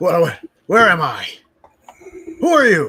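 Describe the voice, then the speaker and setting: Using a put-on character voice, a man speaks raspily at a high pitch and a moderate pace. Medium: actual play.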